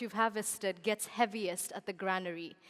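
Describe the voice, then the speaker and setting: A woman with a Kenyan accent. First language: Kikuyu. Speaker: event moderator. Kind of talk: conference stage hosting.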